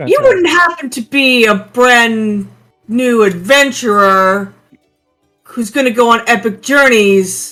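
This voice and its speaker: Over faint music in the background, a put-on character voice speaks at a fairly high pitch and a fairly slow pace. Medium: actual play. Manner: brash, excitable.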